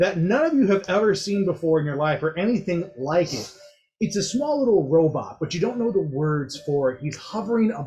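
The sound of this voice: An unforced reading voice carries the text. Its pitch rises and falls in a lively way.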